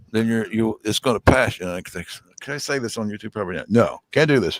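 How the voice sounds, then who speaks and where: Lively intonation and a fairly quick pace mark a man's plain, everyday voice at medium pitch, recorded with a dry, close sound with no echo. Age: 60s. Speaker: homesteader guest on outdoors livestream. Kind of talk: casual chat.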